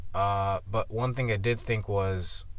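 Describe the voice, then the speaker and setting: A man speaks with fairly even intonation. His voice is somewhat breathy. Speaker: sports commentator. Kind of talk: casual video commentary. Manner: halting with stutters.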